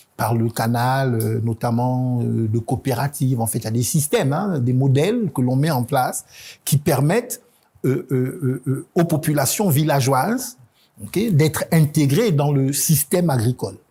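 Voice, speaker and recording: A man speaks at a fairly slow pace in a medium-pitched, somewhat breathy voice with a dark, mellow tone, on a very clean recording with a silent background. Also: ordinary pitch variation. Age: 50s. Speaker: presidential candidate. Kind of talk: TV interview. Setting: TV studio. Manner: hesitant, many fillers.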